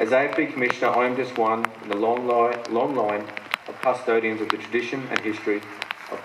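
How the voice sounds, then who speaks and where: A man at a fairly quick pace, ordinary pitch variation, and noticeable background noise. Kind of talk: ceremonial speech. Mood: formal, proud. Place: open country. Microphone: podium.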